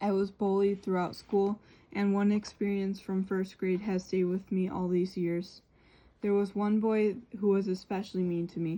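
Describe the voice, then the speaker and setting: Speaking at a moderate pace, a woman uses a dark, mellow tone and monotone, flat intonation. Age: 20s. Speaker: vlogger sharing personal story. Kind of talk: personal testimony.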